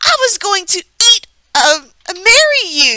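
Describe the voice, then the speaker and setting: A put-on character voice, squeaky and hissing, is raised and projected at a fairly slow pace. Its pitch swings very widely. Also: woman. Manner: hissing, furious.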